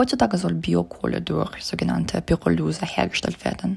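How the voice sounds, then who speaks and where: A woman speaks with a Russian accent over noticeable background noise. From Russia, St. Petersburg. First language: Russian (speaking German). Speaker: master's student, project member. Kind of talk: interview.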